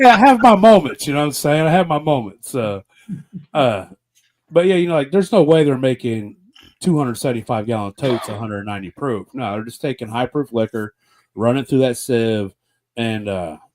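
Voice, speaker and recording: In a dry, close recording with no echo, a man at medium pitch uses lively intonation at a moderate pace, broken by long, frequent pauses. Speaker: podcast host. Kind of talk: casual podcast talk.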